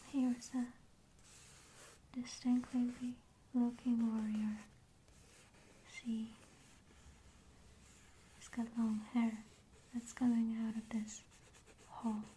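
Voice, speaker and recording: Soft-spoken and very slow, a woman with a fairly high voice talks in a flat monotone, leaving long, frequent pauses as her loudness swings widely. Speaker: ASMR creator. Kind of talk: ASMR show and tell book presentation.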